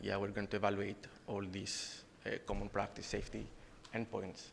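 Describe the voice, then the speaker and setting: A man's fairly low voice with vocal fry, at a moderate pace. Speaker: conference presenter, researcher. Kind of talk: conference presentation and Q&A. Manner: halting, many fillers.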